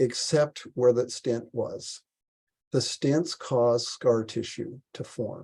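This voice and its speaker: A man at medium pitch with a dark, mellow, somewhat breathy tone and fairly even intonation. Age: 60s. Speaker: health speaker, heart attack survivor. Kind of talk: presentation. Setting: video call.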